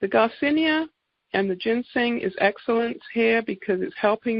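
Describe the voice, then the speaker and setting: A woman speaks in an English accent at a moderate pace. Her pitch is fairly high. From England. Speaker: naturopath giving product presentation. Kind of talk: sales presentation.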